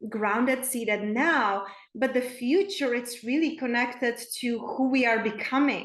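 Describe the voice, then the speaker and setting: With a Czech accent, a woman speaks at a fairly slow pace in a high voice, her pitch moving in an ordinary way and her loudness very even, with audible echo in the room. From Czech Republic, small town. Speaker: spiritual coach. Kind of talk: podcast interview.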